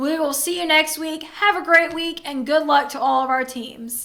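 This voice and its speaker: Raising and projecting her high-pitched voice, a woman with a Southern US accent speaks at a moderate pace. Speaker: sports show host. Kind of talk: sports recap show.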